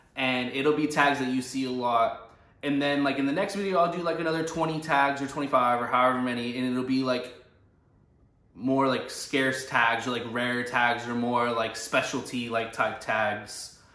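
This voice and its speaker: Moderate pace and fairly even intonation, with audible room echo and noticeable background noise. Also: man, medium pitch for a man. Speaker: vintage clothing reseller / thrift vlogger. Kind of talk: casual unscripted tutorial. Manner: rambling filler-heavy speech.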